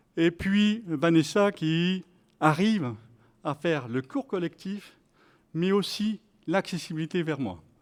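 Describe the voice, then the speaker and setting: Very slowly and with long, frequent pauses, a man speaks at a high pitch in a very clean recording with a silent background. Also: ordinary pitch variation. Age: 60s. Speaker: participant in health sport program. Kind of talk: testimony. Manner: halting.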